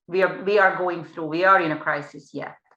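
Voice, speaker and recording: A woman speaks with a Hungarian accent. Her tone is bright and sharp, with ordinary pitch variation. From Hungary. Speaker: panel moderator, PR agency head. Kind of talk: panel moderation.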